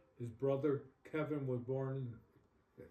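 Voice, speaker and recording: A man with a medium pitch speaks at a fairly slow pace, his intonation fairly even. His tone is dark and mellow, and somewhat breathy. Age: 80s+. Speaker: elderly interviewee. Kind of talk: interview. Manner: halting.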